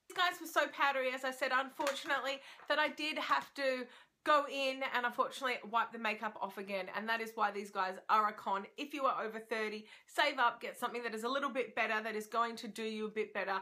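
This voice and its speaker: A woman with an Australian accent, very fast pace, high pitch, a bright and sharp tone, and ordinary pitch variation. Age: 30s. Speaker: beauty vlogger. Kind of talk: product review. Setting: at home. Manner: animated.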